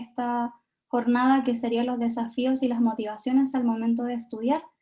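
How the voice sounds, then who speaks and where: Moderate in pace, a woman's high voice holds a monotone, flat intonation. Her tone is dark and mellow. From Chile. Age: 20s. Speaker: Japanese learning content creator, invited speaker. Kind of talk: talk at online event.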